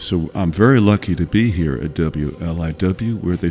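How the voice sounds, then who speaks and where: Speaking at a moderate pace, a man has a relaxed, warm tone, a dark, mellow tone and lively intonation. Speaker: radio host. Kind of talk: radio dj patter. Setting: radio studio broadcast. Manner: relaxed, warm, chatty, and enthusiastic about roots music.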